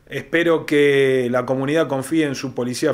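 This man speaks at a moderate pace and a medium pitch. His pitch variation is ordinary. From Argentina. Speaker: police chief. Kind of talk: interview. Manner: halting. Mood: calm, formal. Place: office. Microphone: handheld.

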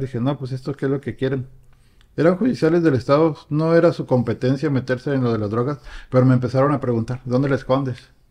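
A man with a Mexican accent, very fast pace, fairly even intonation and a dark, mellow tone. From Mexico. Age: 50s. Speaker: recovered addict; guest. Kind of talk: testimony. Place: home room. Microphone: studio mic.

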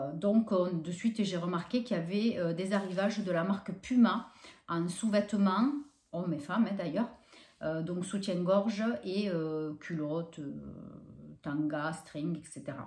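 A woman with a medium pitch talks at a fairly slow pace with long, frequent pauses and ordinary pitch variation, and audible room echo surrounds her voice. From France. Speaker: YouTuber doing shopping hauls. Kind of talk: casual vlog haul presentation. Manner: hesitant, many fillers. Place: home room. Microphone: camera far.

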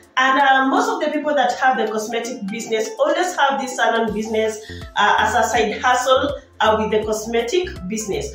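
Faint music plays behind a woman whose voice carries audible room echo. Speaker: business vlogger. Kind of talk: casual vlog advice. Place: home room. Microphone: phone near.

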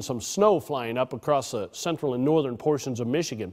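With lively intonation and a fairly quick tempo, an ordinary speaking voice delivers the lines. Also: man. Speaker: weather forecaster. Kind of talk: weather forecast, conversational on-air delivery.

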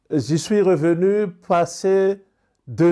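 A man talks at a very slow pace in a dark, mellow tone. His pitch variation is ordinary, and the background is quiet. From Madagascar. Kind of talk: interview testimony; interview answer. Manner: halting. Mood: serious, reflective. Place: home room. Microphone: lapel.

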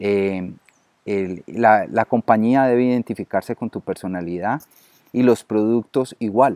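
Dark, mellow tone at a fairly slow pace, with fairly even intonation and a dry sound with no echo over a quiet background. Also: man. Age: 50s. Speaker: network marketer. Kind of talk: interview. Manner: halting, many fillers. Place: garden. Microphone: webcam.

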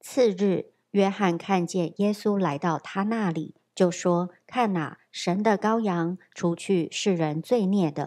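Talking at a very slow pace with hardly any pauses, a woman uses a medium pitch and ordinary pitch variation on a very clean recording with a silent background. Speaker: scripture reader. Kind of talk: reading aloud. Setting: church.

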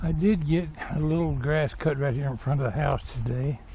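A man's dark, mellow voice at a fairly high pitch, with ordinary pitch variation and a moderate pace.

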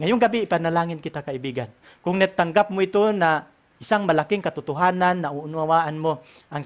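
Fairly quick speech carries ordinary pitch variation. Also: man. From Philippines. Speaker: Bible prophecy teacher. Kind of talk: religious lecture; prayer. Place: home room. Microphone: headset.

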